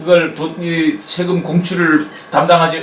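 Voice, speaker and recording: A high-pitched male voice with audible room echo and noticeable background noise. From Jeju, Korea (Nansan-ri). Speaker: oral history interviewer. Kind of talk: interview. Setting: on location in a village.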